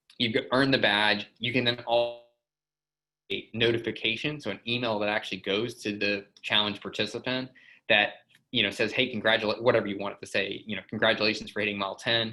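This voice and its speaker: A man speaks at a medium pitch with a bright, sharp tone. His delivery is flat and monotone at a fairly quick pace. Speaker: software company presenter. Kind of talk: webinar presentation. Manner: fast; casual, filler-heavy.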